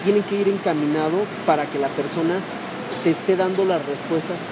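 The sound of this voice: A man speaks at a fairly quick pace with fairly high pitch. Background noise is clearly audible.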